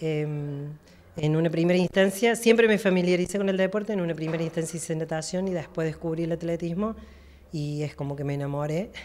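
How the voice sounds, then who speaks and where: A woman with a fairly low pitch talks at a moderate pace with fairly even intonation. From Argentina, Villa María (Córdoba); Córdoba, Argentina. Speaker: masters athlete. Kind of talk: interview. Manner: hesitant, many fillers. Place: office. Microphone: handheld.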